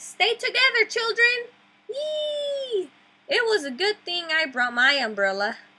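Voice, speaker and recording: Using a put-on character voice, a woman speaks fairly slowly in a squeaky, extremely high pitch. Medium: read story. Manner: cheerful, commanding.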